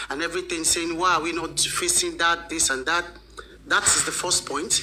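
Against light background noise, a woman talks at a fairly low pitch with ordinary pitch variation. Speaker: live host. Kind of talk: casual commentary. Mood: concerned, critical. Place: home room.

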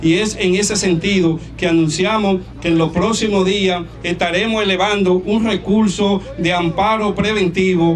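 Light background noise sits under a man speaking at a high pitch. He goes at a fairly slow pace with fairly even intonation. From Dominican Republic. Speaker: community advocate; protest spokesperson. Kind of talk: protest speech. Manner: formal. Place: beach. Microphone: handheld.

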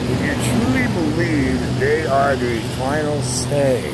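A man speaks at a very slow pace with fairly even intonation. The sound is dry with no echo, but loud background noise is present. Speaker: voice actor. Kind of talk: casual talk to camera. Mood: opinionated, preachy. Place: street. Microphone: phone near.

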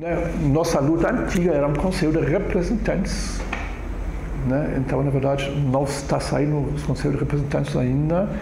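Noticeable background noise sits under a man's voice. He talks at a moderate pace with fairly even intonation. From Germany. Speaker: immigrant community councillor. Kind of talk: oral history interview answer. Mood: reflective, calm. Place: empty room.

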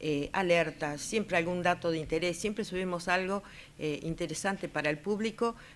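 A woman's fairly low voice at a moderate pace. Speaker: weather observer. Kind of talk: interview.

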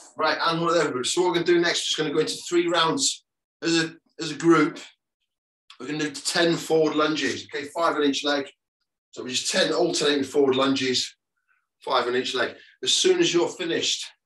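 Room echo is audible as a man speaks at a fairly quick pace with fairly even intonation. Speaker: fitness instructor. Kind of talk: workout instruction. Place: home room. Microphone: video call.

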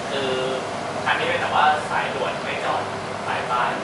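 A man is speaking amid loud background noise. The room echo is audible. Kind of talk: casual chat explaining train stops. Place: train.

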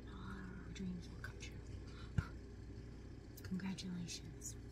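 Loud background noise fills the clip. A woman speaks at a very slow pace. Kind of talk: role-play chat to viewer. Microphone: webcam.

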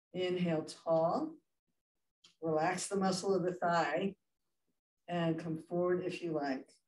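Monotone, flat delivery at a fairly slow pace, with audible room echo and light background noise. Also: woman, fairly low pitch for a woman. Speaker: yoga instructor. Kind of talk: guided chair yoga class, spoken cues. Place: hall. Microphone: camera far.

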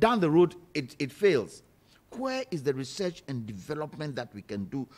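This man talks at a fairly quick pace. His pitch swings very widely. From Ghana. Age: 60s. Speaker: political panelist. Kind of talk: heated debate. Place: studio. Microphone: studio mic.

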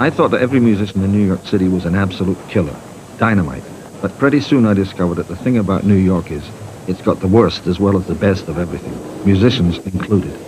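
Over noticeable background noise, a man talks at a very fast pace. His pitch sits fairly low and varies in an ordinary way. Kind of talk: documentary narration.

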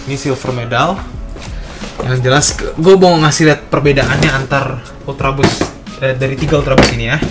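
Clear background music under a man's fairly quick speech. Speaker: sneaker vlogger. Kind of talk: casual unboxing vlog chat. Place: home room. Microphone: phone near.

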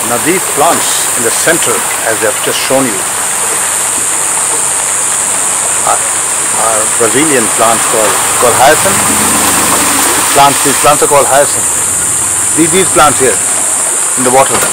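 Loud background noise surrounds a man speaking at a moderate pace. He has ordinary pitch variation and long, frequent pauses. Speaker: travel vlogger. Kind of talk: casual vlog chat. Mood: amazed, enthusiastic. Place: boat. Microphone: phone near.

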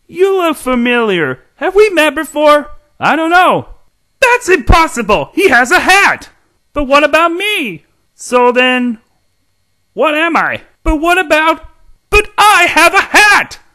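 A put-on character voice pitched high. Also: fairly slow pace. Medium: voice reel. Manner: eager, goofy.

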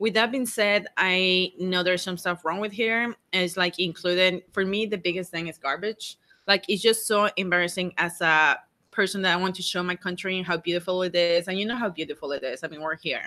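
A woman with a Mexican accent speaks at a fairly quick pace in a bright, sharp tone with fairly even intonation. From Mexico. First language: Spanish. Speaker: RV travel vlogger. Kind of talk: live stream Q&A. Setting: outdoors. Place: home room. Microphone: studio mic.

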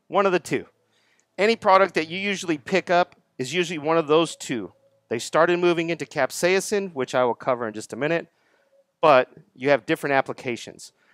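A man with an American accent speaks at a fairly quick pace in a high pitch with ordinary variation. The sound is dry with no echo, the background quiet. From Texas. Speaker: product distributor sales rep. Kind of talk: seminar presentation to audience. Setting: live audience at garden center event. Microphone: headset.

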